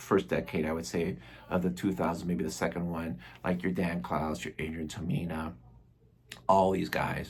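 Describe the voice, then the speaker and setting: Vocal fry marks a man's very deep, low voice. He talks at a moderate pace with ordinary pitch variation. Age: 60s. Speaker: comics reviewer. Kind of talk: casual video review. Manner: casual, with many fillers.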